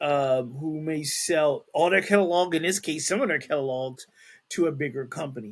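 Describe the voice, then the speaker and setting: A man with a fairly high pitch and ordinary pitch variation talks at a moderate pace. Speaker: podcast host. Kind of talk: reading news aloud with commentary. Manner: halting, stumbles over words.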